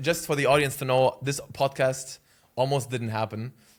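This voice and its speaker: This man has a non-native accent and a medium pitch. He speaks at a fairly quick pace with fairly even intonation. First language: not English. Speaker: YouTuber and podcast host. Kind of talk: casual chat.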